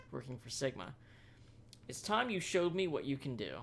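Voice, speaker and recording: A man at a fairly high pitch, amid noticeable background noise. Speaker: let's play gamer. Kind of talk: gameplay commentary. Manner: fast; casual.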